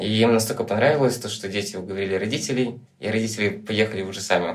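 A man talks very fast in a fairly low voice, his intonation fairly even. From Transnistria, Moldova. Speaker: documentary photographer. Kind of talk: casual chat.

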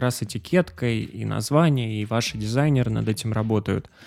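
A normal speaking voice, with ordinary pitch variation, at a moderate pace. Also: man. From Pyatigorsk, southern Russia. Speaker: podcast host. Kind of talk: interview.

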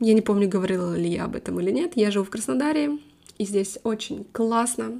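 A woman speaks at a moderate pace and a fairly high pitch. Her tone is dark and mellow. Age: 20s. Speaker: English teacher and podcaster. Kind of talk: casual monologue.

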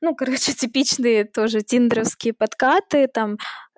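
At a moderate pace, a woman speaks in a high pitch with a dry, close sound and no echo. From Russia, St Petersburg. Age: 20s. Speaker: blogger and filmmaker. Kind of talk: interview.

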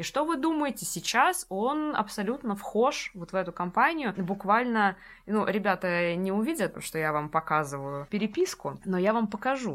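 A woman speaks at medium pitch and a moderate pace. Her pitch swings very widely, and the recording is very clean with a silent background. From Russia, Saint Petersburg. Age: 20s. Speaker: education entrepreneur. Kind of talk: casual interview chat. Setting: studio. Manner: animated.

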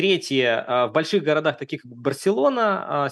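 A man with a normal speaking voice, lively intonation and a fairly slow pace, over a quiet background. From Russia, Saint Petersburg. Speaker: immigrant sharing relocation experience. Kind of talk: casual interview.

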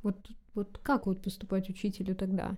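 On a very clean recording with a silent background, a woman speaks at a medium pitch with a dark, mellow tone. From Russia. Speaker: history teacher. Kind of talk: casual chat. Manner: halting.

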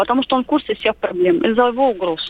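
Speaking at a fairly quick pace, a woman uses a high pitch and lively intonation, with noticeable background noise behind her. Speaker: caller. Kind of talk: phone-in question. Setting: phone call. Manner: halting.

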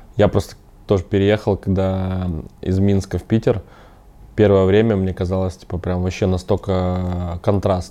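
A man's very deep, low voice, dark and mellow in tone, flat and monotone, at a moderate pace. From Minsk, Belarus. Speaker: podcast host, IT company CEO. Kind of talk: casual interview.

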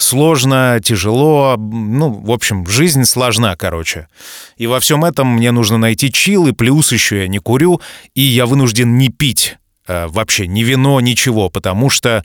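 Recorded very cleanly against a silent background, a man at medium pitch talks at a fairly slow pace with lively intonation, the sound dry and close with no echo. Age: 40s. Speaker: podcast host. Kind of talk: casual monologue. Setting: studio. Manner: animated.

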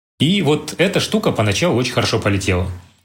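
This man talks at a very fast pace, his voice somewhat breathy. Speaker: company CEO. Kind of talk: interview.

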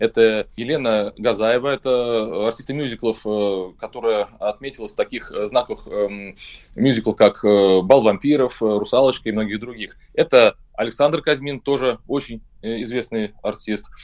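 A man speaks at a fairly slow pace in an unremarkable speaking voice, his pitch medium. His intonation stays fairly even over a quiet background. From Saint Petersburg, Russia. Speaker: rock band vocalist. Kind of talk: radio interview. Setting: remote call.

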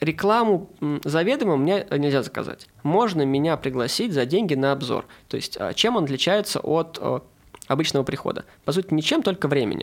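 A man talks at a moderate pace in a high-pitched voice. His intonation is lively. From Saint Petersburg, Russia. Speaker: food blogger. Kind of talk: casual chat.

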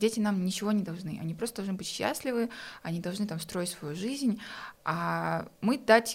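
A woman with an unremarkable speaking voice talks at a fairly quick pace, her pitch varying in an ordinary way. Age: 20s. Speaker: entrepreneur. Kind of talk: casual chat.

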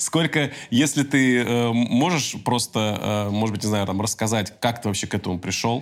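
With an ordinary speaking voice, a man talks at a moderate pace at a medium pitch, using ordinary pitch variation. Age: 30s. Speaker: podcast host. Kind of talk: casual interview chat.

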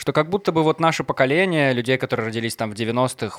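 A man talks at a very fast pace with lively intonation. The sound is dry and close, with no echo. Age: 20s. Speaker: podcast host. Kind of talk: casual chat; news reading.

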